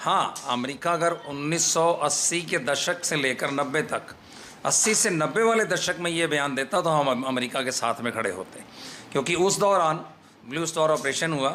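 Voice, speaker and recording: This is an ordinary speaking voice from a man. His pitch is fairly high, with ordinary variation. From India, Lucknow, Uttar Pradesh. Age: 60s. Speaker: Sikh community leader. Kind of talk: media interview statement.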